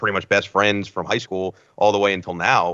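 In a plain, everyday voice, a man with an American accent speaks at a fairly low pitch with fairly even intonation. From New Jersey. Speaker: sports play-by-play broadcaster. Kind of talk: casual interview chat.

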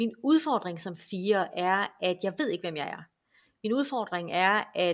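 Speaking at a very slow pace with lively intonation, a woman of medium pitch is heard in a very clean recording with a silent background. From western Denmark, Esbjerg. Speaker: enneagram expert. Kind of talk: podcast interview.

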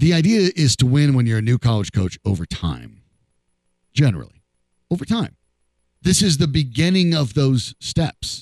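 Very wide pitch swings and very even loudness mark this speech, broken by long, frequent pauses in a dry, close sound with no echo. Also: man, fairly high pitch for a man, moderate pace. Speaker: sports radio host. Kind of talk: casual chat. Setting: studio.

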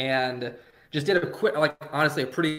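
A man talks at a fairly quick pace in an ordinary speaking voice, his intonation fairly even. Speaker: fantasy baseball writer. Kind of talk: casual interview.

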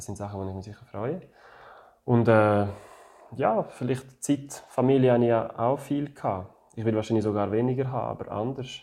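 With a French accent, a man speaks at a moderate pace and medium pitch, taking long, frequent pauses and making big swings in loudness. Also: ordinary pitch variation. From French-speaking Switzerland, Neuchâtel. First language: French (speaking German). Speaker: retired ice hockey player. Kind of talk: interview. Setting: at home. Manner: halting.

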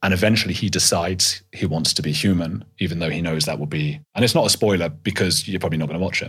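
Almost without pauses, a man races along at a very fast pace in a very deep, low pitch with ordinary pitch variation. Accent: southern English. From England, North London. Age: 30s. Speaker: podcaster and documentary filmmaker. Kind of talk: interview conversation. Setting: in-person recording.

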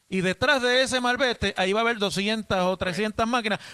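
A man speaks at a fairly quick pace in a raised, projected voice that is high for a man, with a bright, sharp tone. His pitch varies in an ordinary way, and the sound is dry and close with no echo. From Puerto Rico. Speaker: radio host. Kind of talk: radio interview. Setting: hotel lobby remote broadcast.

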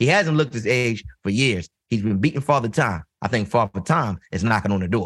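A man speaks at a fairly quick pace with a medium pitch, lively intonation and a Baltimore accent, against a quiet background. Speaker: podcast co-host. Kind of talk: casual, conversational.

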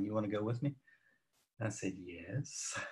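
A man talks with an American accent in a normal speaking voice. His pace is moderate and his pitch varies in an ordinary way. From North Carolina, Salisbury. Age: 50s. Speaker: photographer. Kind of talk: casual chat.

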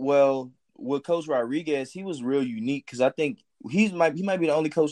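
In a New Orleans accent, a man speaks with a dry, close sound with no echo over a quiet background. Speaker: college football player. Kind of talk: casual interview.

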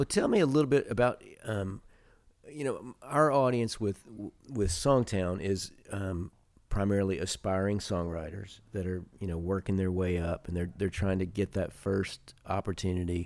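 At a moderate pace, a man with an ordinary speaking voice talks with ordinary pitch variation. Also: fairly low pitch for a man. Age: 50s. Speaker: podcast host, songwriter. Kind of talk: casual interview chat; podcast intro and outro.

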